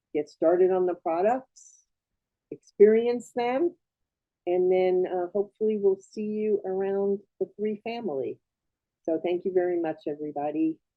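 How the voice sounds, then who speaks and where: A woman speaks at a medium pitch and a moderate pace. Hers is a normal speaking voice. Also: ordinary pitch variation. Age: 60s. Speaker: host of a sales presentation. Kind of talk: sales pitch.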